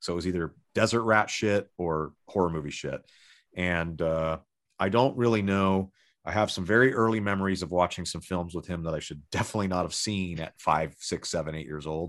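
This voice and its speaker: Over a quiet background, a man with a very deep, low pitch and a Californian accent talks at a fairly quick pace with ordinary pitch variation. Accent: Californian American English. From Los Angeles, Southern California. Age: 30s. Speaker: rock guitarist. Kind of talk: casual chat.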